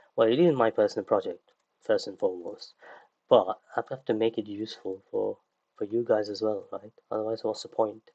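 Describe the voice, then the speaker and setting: A soft-spoken man talks at a fairly quick pace, his loudness swinging widely. The sound is dry and close with no echo, over a quiet background. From UK. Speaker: 3D creature artist and online instructor. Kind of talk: livestream tutorial. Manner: hesitant, many fillers.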